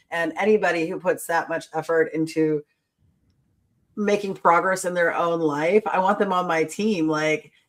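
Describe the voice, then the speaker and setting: Her pitch is fairly low. The woman talks at a moderate pace. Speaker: podcast host. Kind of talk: casual chat. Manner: loud; animated.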